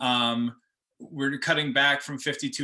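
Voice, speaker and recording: A man with an American accent speaks at a medium pitch, his intonation monotone and flat. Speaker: farmer. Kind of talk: presentation. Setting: video call. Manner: fast.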